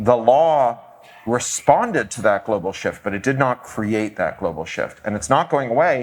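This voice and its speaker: A man's medium-pitched voice with lively intonation and a Canadian accent. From Canada. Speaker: author and activist. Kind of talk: live podcast interview answer. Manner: fast.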